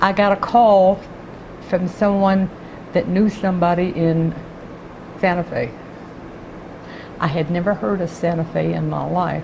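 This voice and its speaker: In an American accent, a woman speaks at a fairly low pitch with fairly even intonation, at a fairly slow pace. Long, frequent pauses break up her speech over noticeable background noise. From Texas, Houston. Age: 80s+. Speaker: retired court clerk. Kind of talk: oral history interview.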